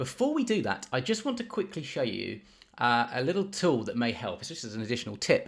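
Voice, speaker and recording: In a British accent, a man talks at a very fast pace with a fairly high pitch and very wide pitch swings, captured on a very clean recording with a silent background. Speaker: project management tutor, YouTuber. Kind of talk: software tutorial. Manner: casual, with frequent fillers and restarts.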